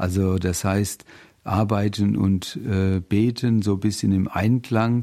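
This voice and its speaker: A man speaks very slowly in a fairly low pitch with a dark, mellow tone. His delivery is monotone and flat, and the recording is very clean with a silent background. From Rheinhessen, Germany. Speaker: radio volunteer. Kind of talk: testimony.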